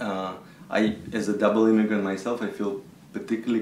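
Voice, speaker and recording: Through audible room echo and noticeable background noise, a man with a Russian accent speaks at a medium pitch. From Israel (born in Russia). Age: 40s. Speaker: composer. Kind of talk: interview. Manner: hesitant, with fillers.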